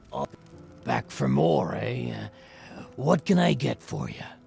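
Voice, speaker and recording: With clear music in the background, a man uses a raspy, put-on character voice of very deep, low pitch at a fairly slow pace. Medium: video game. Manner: slick, oily.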